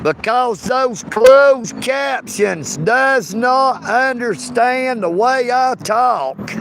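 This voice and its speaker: Over noticeable background noise, a man with a strong Southern US accent speaks at a very slow pace in an extremely high pitch with ordinary pitch variation. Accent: thick Southern. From US South, Dalton, Georgia. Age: 50s. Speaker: live streamer. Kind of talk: casual chat. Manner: animated.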